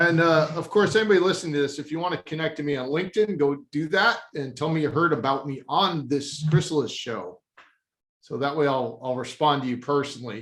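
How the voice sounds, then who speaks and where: A man with a plain, everyday voice talks at a fairly quick pace. His pitch is fairly high, with ordinary pitch variation. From Texas. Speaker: company CEO. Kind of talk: casual chat.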